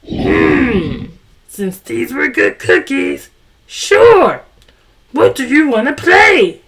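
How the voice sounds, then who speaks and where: A put-on, growling character voice from a man, extremely high in pitch, very slow, with long, frequent pauses. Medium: read story. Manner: warm, gentle.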